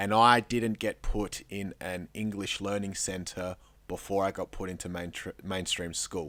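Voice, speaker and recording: The voice has a bright, sharp tone and an Australian accent, with a monotone, flat intonation at a fairly slow pace. The recording is very clean, with a silent background. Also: man, fairly low pitch for a man. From Peru. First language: Spanish. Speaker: radio host. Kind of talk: interview.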